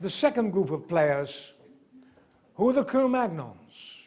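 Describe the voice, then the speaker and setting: A man speaks at a high pitch with very wide pitch swings, fairly slowly and with long, frequent pauses. Room echo is audible. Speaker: archaeology lecturer. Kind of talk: lecture.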